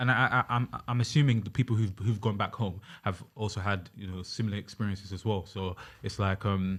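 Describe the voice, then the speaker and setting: A man's somewhat breathy, fairly low voice at a fairly quick pace, with fairly even intonation, on a very clean recording with a silent background. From London and Uganda. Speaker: youth worker. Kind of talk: casual podcast chat.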